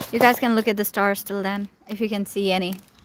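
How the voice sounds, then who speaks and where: Noticeable background noise sits under a woman's voice. She speaks at a medium pitch and a fairly quick pace. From Pakistan. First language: Urdu. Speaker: live streamer. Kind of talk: casual chat. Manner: rambling, many fillers.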